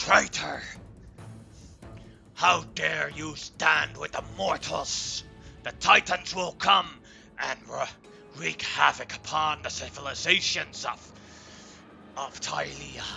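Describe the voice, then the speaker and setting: A man uses a put-on character voice, fairly high-pitched and at a fairly slow pace. Clear music plays in the background. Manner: angry, accusing.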